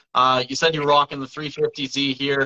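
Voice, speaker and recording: A man with an unremarkable speaking voice. His pitch sits fairly high, and he talks at a moderate pace. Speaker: event announcer. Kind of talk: casual livestream chat. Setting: video call livestream.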